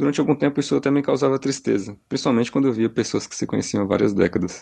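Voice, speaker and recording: Very fast male speech with a dark, mellow tone and vocal fry. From Brazil. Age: 30s. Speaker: listener sending a voice message. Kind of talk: recorded voice message.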